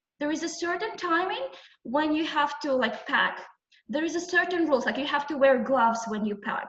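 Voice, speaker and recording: The woman's voice sits at a high pitch. Audible room echo surrounds it. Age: 20s. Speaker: entrepreneur, guest lecturer. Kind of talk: lecture. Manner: halting, many fillers.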